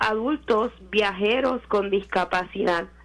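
A woman speaks at a very slow pace with a fairly high pitch and ordinary pitch variation. Music plays in the background. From Puerto Rico. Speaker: media and communications consultant. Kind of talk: radio interview.

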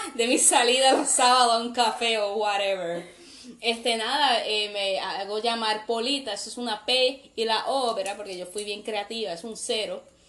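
A woman speaks at a moderate pace in a fairly high voice. Her intonation stays fairly even, and the room echo is audible. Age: 20s. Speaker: podcast host. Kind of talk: casual chat.

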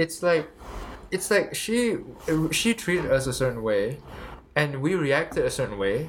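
Lively intonation from a man at a moderate pace, against noticeable background noise. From Malaysia. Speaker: university student podcaster. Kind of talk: casual chat. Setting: home room, shared USB mic.

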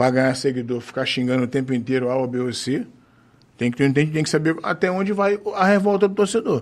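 Here a man talks at a fairly quick pace. His pitch is medium with ordinary variation. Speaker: football supporters' group president. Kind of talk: casual chat.

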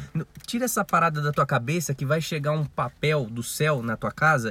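In a normal speaking voice, a man speaks at a fairly quick pace with lively intonation and fairly high pitch. The sound is dry and close with no echo. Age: 20s. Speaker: podcast co-host. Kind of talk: casual chat.

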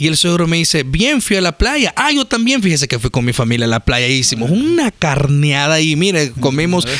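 Over noticeable background noise, a man with a fairly high pitch talks at a fairly quick pace with hardly any pauses, very wide pitch swings and very even loudness. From El Salvador. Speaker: podcast co-host. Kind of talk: casual chat.

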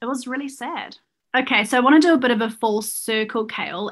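In a New Zealand accent, a woman talks at a moderate pace. Her pitch is high, with ordinary pitch variation. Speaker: podcast co-host. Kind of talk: casual chat; news reading.

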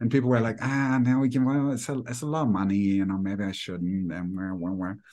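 A man with a German accent, fairly low pitch and lively intonation, against a quiet background. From Germany. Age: 40s. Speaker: life coach. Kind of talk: casual interview.

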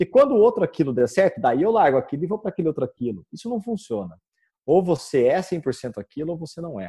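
Very fast speech comes from a man with a high voice and a dark, mellow tone, using very wide pitch swings and big swings in loudness. The sound is dry and close with no echo, over a quiet background. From Brazil, Campinas (São Paulo state). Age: 30s. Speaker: guitar teacher and musician. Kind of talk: interview.

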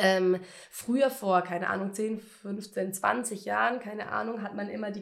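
Through clear background noise, a woman's voice moves at a moderate speed with ordinary pitch variation. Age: 20s. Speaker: cancer patient podcaster. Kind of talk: personal testimony monologue. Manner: casual, many fillers.

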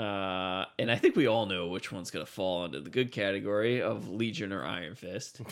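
A man with vocal fry speaks fairly quickly at a fairly low pitch, his loudness swinging widely while his pitch varies in an ordinary way. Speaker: podcast host. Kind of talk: casual chat.

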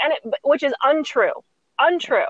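Fairly quick and lively in intonation, a woman talks in an unremarkable speaking voice. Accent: American. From suburban US. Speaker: business coach and educator. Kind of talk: interview conversation.

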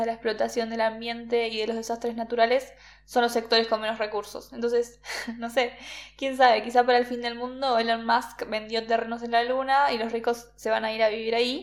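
A woman's fairly high voice at a fairly quick pace. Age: 20s. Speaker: podcast co-host. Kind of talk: casual podcast discussion.

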